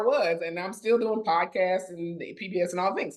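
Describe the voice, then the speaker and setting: A woman with a normal speaking voice talks at a fairly slow pace with ordinary pitch variation. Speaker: podcast host. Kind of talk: casual chat.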